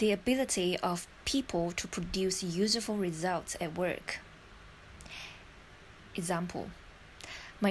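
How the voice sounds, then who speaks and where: At a fairly slow pace, a woman speaks in a medium pitch, somewhat breathy, with ordinary pitch variation. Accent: American. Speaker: IELTS learner. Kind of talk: vocabulary list reading.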